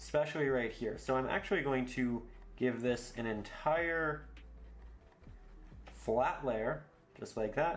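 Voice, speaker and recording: In a room with audible echo, a man with a calm tone and medium pitch speaks at a fairly slow pace, using ordinary pitch variation and long, frequent pauses. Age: 20s. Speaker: painting instructor. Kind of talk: tutorial. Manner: calm, instructive.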